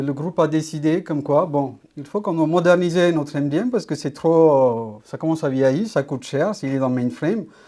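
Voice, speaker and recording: A moderate pace on a very clean recording with a silent background. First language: not French (speaking French). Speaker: data architect, conference speaker. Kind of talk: conference talk. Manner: halting, many hesitations.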